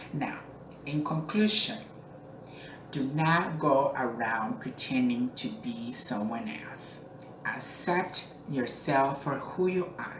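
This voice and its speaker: A woman with a very deep, low pitch speaks very slowly, with lively intonation and big swings in loudness. Noticeable background noise and audible room echo fill the recording. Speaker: entertainer and pageant owner. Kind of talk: advice monologue to camera. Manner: earnest, encouraging.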